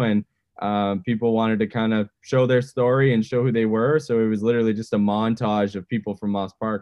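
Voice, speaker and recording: With a Canadian accent, a man speaks in an ordinary speaking voice, fairly low in pitch, with fairly even intonation. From Edmonton, Canada. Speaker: musician, band frontman. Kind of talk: interview.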